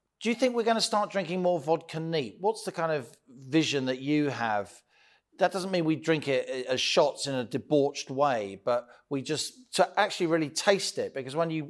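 A man with a British accent speaks at a fairly high pitch with lively intonation on a very clean recording with a silent background. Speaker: podcast host and business journalist. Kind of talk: interview.

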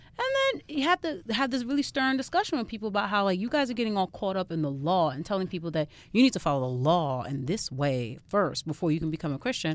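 A woman's very fast New York–accented speech with very wide pitch swings, on a very clean recording against a silent background. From Far Rockaway, Queens, New York. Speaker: guest. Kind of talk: casual chat.

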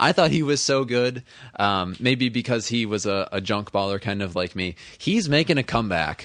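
Over a quiet background, a normal speaking voice moves at a moderate pace with lively intonation. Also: man, medium pitch for a man. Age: 20s. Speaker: sports podcast host. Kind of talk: casual chat.

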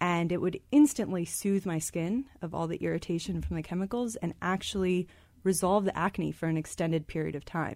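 Her pitch is fairly low for a woman, with ordinary variation and a moderate pace, in a normal speaking voice. The recording is very clean, with a silent background. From US Midwest, Michigan. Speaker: startup co-founder and business school student. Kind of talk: radio interview. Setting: studio.

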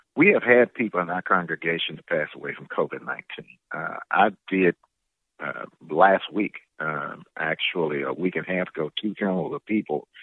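Speaking at a moderate pace, a man with a very deep, low pitch shows ordinary pitch variation and big swings in loudness. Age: 60s. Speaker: pastor. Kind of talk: interview.

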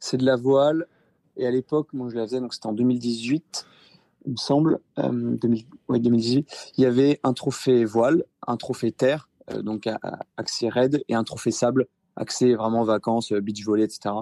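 Recorded dry and close with no echo, a man speaks slowly-ish at a fairly slow pace, with a medium pitch, dark, mellow tone and fairly even intonation. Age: 20s. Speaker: amateur ultra-endurance cyclist. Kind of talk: interview. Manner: hesitant, many fillers.

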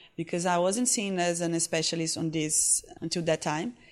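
A woman speaks with a Portuguese accent at a moderate pace and a fairly low pitch. Her pitch variation is ordinary, and the background is quiet. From Brazil, Recife (northeast). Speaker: fashion influencer. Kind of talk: interview. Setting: conference in Sao Paulo.

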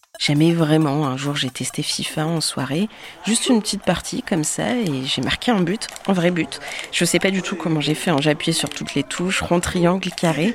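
Over noticeable background noise, a woman with a fairly low voice talks at a moderate pace with ordinary pitch variation. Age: 20s. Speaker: podcast host. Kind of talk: scripted narration.

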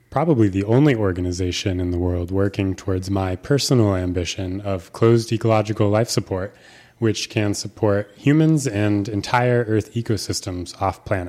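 A man's fairly low voice with a dark, mellow tone, ordinary pitch variation and a fairly slow pace, on a very clean recording over a silent background. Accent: American. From US Pacific Northwest, Seattle. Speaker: graduate student in astrobiology. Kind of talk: interview answers via interpreter.

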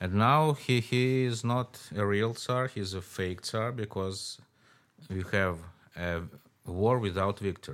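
Someone with a Russian accent speaks at a very slow pace with ordinary pitch variation, in a very clean recording with a silent background. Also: man, fairly low pitch for a man. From Moscow, Russia. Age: 60s. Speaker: author. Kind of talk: interview conversation. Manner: animated, laughs often.

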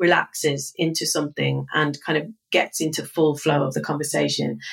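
A woman talks at a moderate pace with a fairly bright tone. Her voice carries a slightly husky edge and vocal fry.

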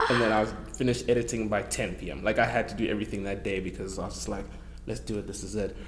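With a South African accent, a man talks very fast over noticeable background noise. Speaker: actor. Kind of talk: casual chat.

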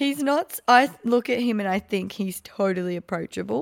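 With an Australian accent, a woman speaks at a moderate pace in a medium pitch with ordinary pitch variation, on a very clean recording with a silent background. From Gold Coast, Australia. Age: 30s. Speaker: podcast host. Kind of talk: casual chat.

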